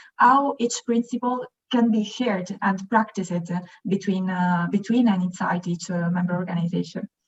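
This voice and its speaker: With an Italian accent, a woman talks at a fairly quick pace in a somewhat breathy voice, her pitch varying in an ordinary way. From Italy. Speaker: youth organization activist, panelist. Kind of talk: webinar panel discussion. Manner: halting, many fillers.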